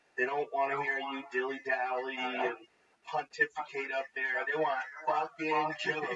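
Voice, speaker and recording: A man's fairly high voice with an American accent, ordinary pitch variation and noticeable background noise. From Boston area, US Northeast. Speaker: comedian. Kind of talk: casual chat. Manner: animated.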